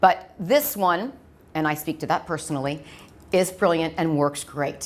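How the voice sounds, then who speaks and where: This woman has an American accent and a fairly low pitch. She talks at a fairly quick pace with ordinary pitch variation. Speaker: medical device clinical trainer. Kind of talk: lecture. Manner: fast.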